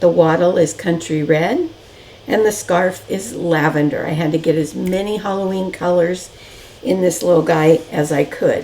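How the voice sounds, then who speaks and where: Over noticeable background noise, a woman with a fairly low voice speaks at a moderate pace, with ordinary pitch variation. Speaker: decorative painting teacher. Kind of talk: tutorial. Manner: casual, conversational.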